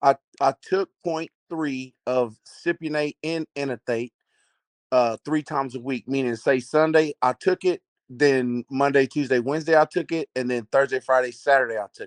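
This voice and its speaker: A man with a Texas accent talks at a moderate pace with fairly even intonation, the sound dry and close with no echo over a quiet background. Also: fairly high pitch for a man. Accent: noticeable Southern US accent, Texas. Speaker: caller asking about a steroid cycle. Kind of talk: casual question on a live video call. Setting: video call, lying in bed.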